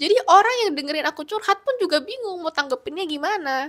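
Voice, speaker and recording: A woman is speaking. Her pitch swings very widely. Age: 20s. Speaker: lifestyle vlogger. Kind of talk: self-help vlog talk to camera.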